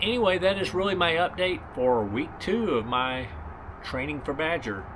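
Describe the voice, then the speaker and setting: With audible room echo, a man talks at a moderate pace in a fairly high pitch that swings very widely. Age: 60s. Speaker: ultra runner vlogger. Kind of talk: casual vlog update. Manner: relaxed, with many fillers.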